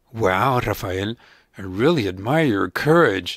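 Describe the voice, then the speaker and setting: A man's put-on character voice, fairly low in pitch and fairly slow in pace, in a very clean recording with a silent background. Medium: read story.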